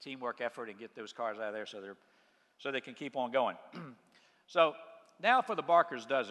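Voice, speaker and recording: A man speaks at a fairly quick pace with an American accent, using a normal speaking voice. His pitch varies in an ordinary way against a quiet background. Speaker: car dealership owner. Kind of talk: motivational business speech.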